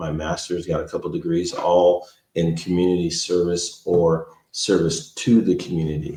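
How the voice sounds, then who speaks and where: A man with an American accent speaks fairly slowly in a very deep, low voice, dark and mellow in tone and flat in a monotone. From California. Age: 60s. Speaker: parks and recreation director. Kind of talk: podcast interview.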